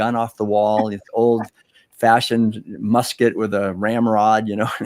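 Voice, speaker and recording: Recorded very cleanly against a silent background, a man speaks at a medium pitch with an American accent in a dry, close sound with no echo. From US Northeast, Concord, Massachusetts. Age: 60s. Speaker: author and speaker on vegan living. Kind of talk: interview. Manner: calm.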